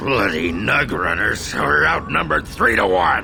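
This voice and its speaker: A man puts on a character voice at a moderate pace. Loud noise fills the background. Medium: video game. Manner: coarse, blustering.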